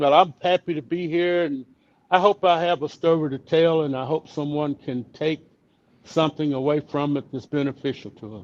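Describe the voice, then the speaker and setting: A man speaks with an East Texas accent at a fairly high pitch and a moderate pace. His loudness swings widely. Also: ordinary pitch variation, dry, close sound with no echo. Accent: East Texas Southern. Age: 70s. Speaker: retired motorcycle rider and vlogger. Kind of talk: casual interview chat.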